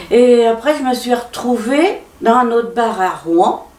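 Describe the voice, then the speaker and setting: A woman is heard with audible room echo. Noticeable background noise is present too. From Normandy, Pays de Caux. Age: 70s. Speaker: café owner. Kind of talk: interview testimony. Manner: halting.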